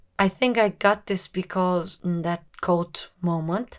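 The recording is very clean, with a silent background. A woman speaks at a very slow pace. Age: 20s. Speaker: podcast host. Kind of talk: casual monologue. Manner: unscripted, casual.

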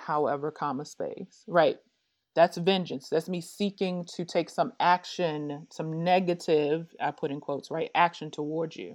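A woman speaks in a normal speaking voice at a fairly low pitch, with fairly even intonation. Her loudness swings widely against a quiet background. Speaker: business strategist. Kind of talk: casual interview conversation.

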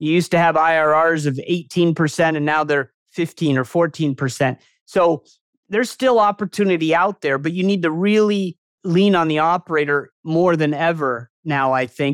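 On a very clean recording with a silent background, a man with a plain, everyday voice and a fairly high pitch speaks at a moderate pace, with ordinary pitch variation and very even loudness. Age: 50s. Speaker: real estate investor and community founder. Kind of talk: interview. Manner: casual, frequent filler words.

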